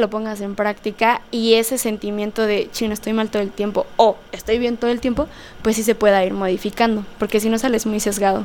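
Here a woman speaks at a fairly quick pace. Her fairly high voice stays monotone and flat. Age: 20s. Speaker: political science graduate. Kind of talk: casual interview.

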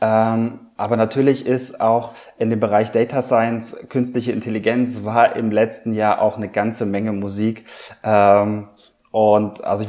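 Fairly even intonation in a man's dark, mellow tone. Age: 30s. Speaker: amateur runner. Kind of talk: interview. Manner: halting.

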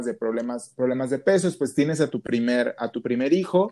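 Dark and mellow in tone, a man of medium pitch speaks fairly quickly with ordinary pitch variation. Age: 20s. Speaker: podcast host, bariatric patient. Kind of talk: casual interview. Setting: remote call.

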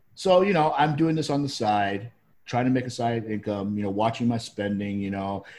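An ordinary speaking voice moves at a fairly quick pace over a quiet background. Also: man. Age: 50s. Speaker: affiliate marketer and web developer. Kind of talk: casual chat.

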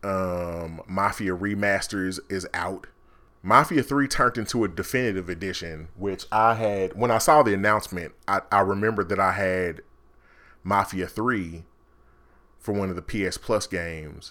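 With an American accent, a man speaks at a fairly low pitch in a bright, sharp tone with ordinary pitch variation, recorded very cleanly against a silent background. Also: moderate pace. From Kansas City, Missouri. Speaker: podcast host. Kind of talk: casual solo monologue.

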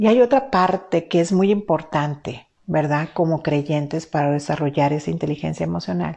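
Her dark, mellow voice carries vocal fry as this woman speaks at a fairly slow pace with lively intonation. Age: 50s. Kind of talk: faith-based teaching talk. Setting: live stream.

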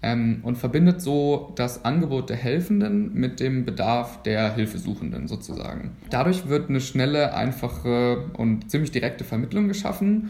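With very wide pitch swings and hardly any pauses, a man talks at a moderate pace in a medium pitch. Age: 20s. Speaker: medical student. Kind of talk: podcast interview.

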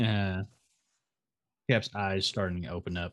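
Here a man talks. He delivers his words at a fairly slow pace. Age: 30s. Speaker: podcast co-host and streamer. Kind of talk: casual chat. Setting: video recording.

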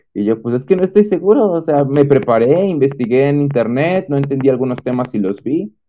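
In an ordinary speaking voice, a man talks at a fairly high pitch and a fairly quick pace, with lively intonation and hardly any pauses. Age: 20s. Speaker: engineering student. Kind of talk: testimony.

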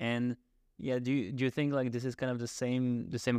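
Very fast and monotone, flat in intonation, a voice with a French accent comes through a dry, close sound with no echo against a quiet background. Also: man. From France. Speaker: podcast host. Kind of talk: interview. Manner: halting.

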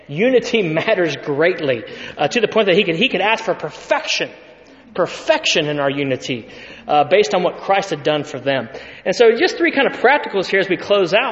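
With an American accent and noticeable background noise behind him, a man talks at a fairly quick pace in a high voice that makes very wide pitch swings. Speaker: pastor. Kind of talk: sermon. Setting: church.

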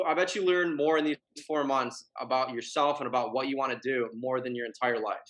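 A man with an American accent talks at a fairly quick pace in a plain, everyday voice, medium in pitch with ordinary pitch variation. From Michigan. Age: 20s. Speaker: fitness brand founder. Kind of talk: casual chat.

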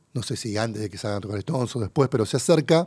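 In a very clean recording with a silent background, a dark, mellow voice with a Rioplatense accent carries lively intonation. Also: man. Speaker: podcast host. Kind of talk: casual chat. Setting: studio.

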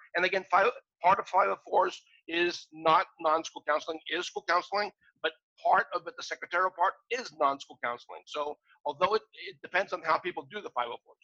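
A man talks at a fairly quick pace in a high pitch, his tone bright and sharp. His loudness swings widely, and the sound is dry and close, with no echo. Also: ordinary pitch variation. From Australia and Greece. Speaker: software creator. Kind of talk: interview. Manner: halting.

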